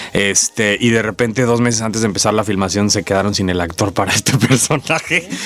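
Speaking at a fairly quick pace with hardly any pauses, a man uses a fairly low voice and ordinary pitch variation. Noticeable background noise runs underneath. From Mexico, Villahermosa, Tabasco. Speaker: actor. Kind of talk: interview.

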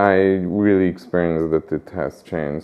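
A man talks with a Hungarian accent. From Budapest, Hungary. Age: 40s. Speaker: interviewee, Hungarian resident. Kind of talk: interview. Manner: halting, with many repetitions.

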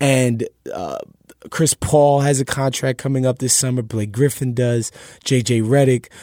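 A man with an American accent speaks at a fairly slow pace with a medium pitch, fairly even intonation and a dark, mellow tone, in a dry, close sound with no echo. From New York. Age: 30s. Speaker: sports podcaster and basketball writer. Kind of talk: casual panel discussion. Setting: studio in Brooklyn.

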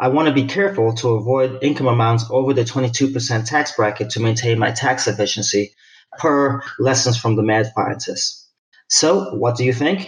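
Somewhat breathy, a man speaks at a medium pitch with ordinary pitch variation and very even loudness. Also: moderate pace. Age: 40s. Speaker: retired military, listener asking a question. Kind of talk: recorded voicemail question.

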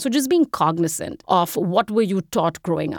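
A woman with an Indian accent speaks at a moderate pace in a medium pitch, in a very clean recording with a silent background and a dry, close sound with no echo. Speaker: investment strategist. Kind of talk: interview.

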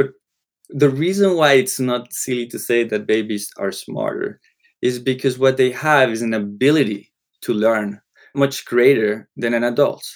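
A moderate pace in a Spanish accent, with ordinary pitch variation. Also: man, medium pitch for a man. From Colombia. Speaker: psychology professor. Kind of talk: panel discussion.

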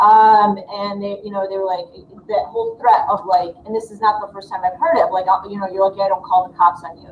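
A woman at medium pitch talking at a very fast pace, with ordinary pitch variation, big swings in loudness and noticeable background noise. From Dearborn, Michigan, US. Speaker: high school teacher. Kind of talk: panel discussion. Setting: video call.

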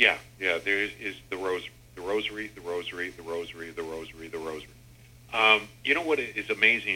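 Very fast and full of lively intonation, a man with an American accent talks at a fairly low pitch. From Michigan, Pontiac area. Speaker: radio host. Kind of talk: interview.

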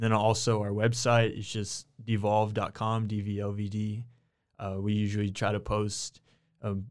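A man with an American accent, fairly low in pitch, fairly slow and monotone, on a very clean recording with a silent background. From Texas, Waco. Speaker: self-taught painter. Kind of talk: casual interview. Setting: studio.

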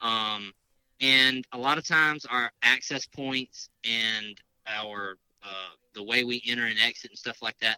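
A bright, sharp tone in a Southern US accent, at a fairly slow pace with fairly even intonation. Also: man, medium pitch for a man. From Mississippi. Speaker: hunter and outdoor gear expert. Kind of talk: casual interview.

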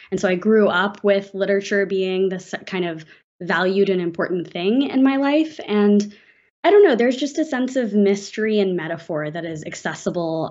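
A woman with an American accent has a plain, everyday voice, speaking at a medium pitch and a moderate pace. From US South, Atlanta suburbs. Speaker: novelist. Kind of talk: interview.

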